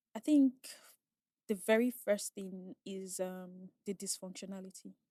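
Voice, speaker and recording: A Nigerian accent at a fairly slow pace, with ordinary pitch variation, big swings in loudness and a dry, close sound with no echo. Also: woman, medium pitch for a woman. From Nigeria, raised in Asaba. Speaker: oil and gas safety inspector. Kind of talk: casual chat.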